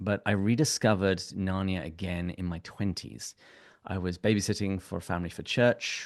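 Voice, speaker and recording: A man talks at a fairly quick pace with a fairly low pitch. His pitch varies in an ordinary way, and the background is quiet. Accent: English. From England. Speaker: podcast guest, software engineer and podcast host. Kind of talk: casual chat.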